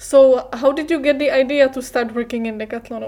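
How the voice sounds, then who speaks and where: With a Czech accent, a woman speaks at a high pitch and with fairly even intonation. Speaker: podcast co-host. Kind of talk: interview.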